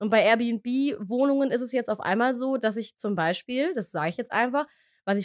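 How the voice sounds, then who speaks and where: Using a plain, everyday voice, a woman speaks at a moderate pace with lively intonation and fairly high pitch, in a dry, close sound with no echo on a very clean recording with a silent background. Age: 30s. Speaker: podcast co-host. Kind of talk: casual chat. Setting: home office in the attic, in person.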